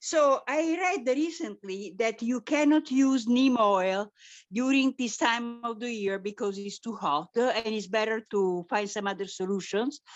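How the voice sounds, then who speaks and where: A woman's fairly high voice in an Italian accent, with lively intonation, a fairly slow pace, and hardly any pauses. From Italy. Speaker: caller. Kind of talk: caller question. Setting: video call.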